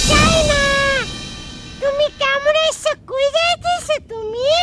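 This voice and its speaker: Someone uses a squeaky, put-on character voice at a very slow pace. Faint music plays in the background. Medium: short film. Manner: peculiar, affected speech.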